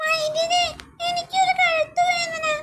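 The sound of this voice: This is a squeaky, cartoonish character voice. It sits at an extremely high pitch.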